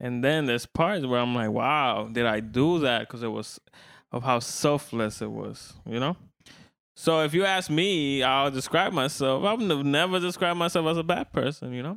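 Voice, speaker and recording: In a normal speaking voice, a man talks at a moderate pace with fairly high pitch and lively intonation. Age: 20s. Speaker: podcast co-host. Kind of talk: casual chat.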